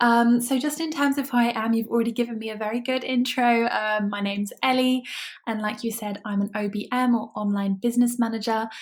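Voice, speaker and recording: Over noticeable background noise, a woman with a British accent speaks at a fairly high pitch with fairly even intonation. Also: fairly quick pace. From UK. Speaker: online business manager. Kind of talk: podcast interview.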